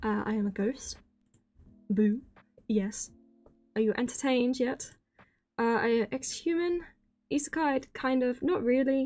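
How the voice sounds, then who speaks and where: A woman with a British accent talks in a high, shaky voice at a fairly slow pace. She leaves long, frequent pauses as music plays in the background. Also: ordinary pitch variation. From Britain. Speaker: vtuber streamer. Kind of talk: casual chat.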